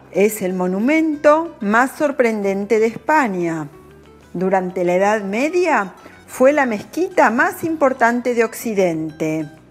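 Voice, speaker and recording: Over music in the background, a woman speaks at a very slow pace, her fairly high pitch swinging very widely. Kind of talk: language-learning narration. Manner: slow, clear.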